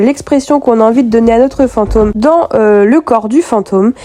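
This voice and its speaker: A woman speaks with ordinary pitch variation. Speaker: polymer clay crafter. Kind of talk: tutorial voice-over.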